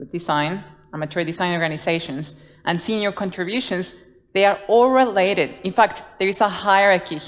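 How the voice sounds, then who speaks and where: Moderate pace and ordinary pitch variation in a Guatemalan accent, with big swings in loudness. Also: woman, medium pitch for a woman. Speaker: design leader. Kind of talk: conference talk. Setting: stage with audience.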